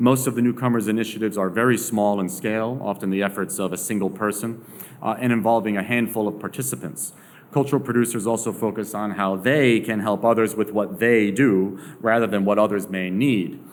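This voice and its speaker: There is audible room echo around a man speaking at a fairly quick pace. His pitch is fairly low and his intonation fairly even. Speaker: sociologist. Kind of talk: lecture.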